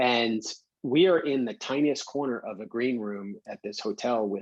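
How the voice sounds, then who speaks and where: This man has a New York accent and talks at a moderate pace with ordinary pitch variation. The sound is dry and close, with no echo. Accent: New York, still present. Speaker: professional photographer. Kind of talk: lecture.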